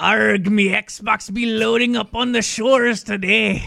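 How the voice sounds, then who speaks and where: A man in a put-on character voice with a high pitch, at a fairly slow pace. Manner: gruff, exaggerated.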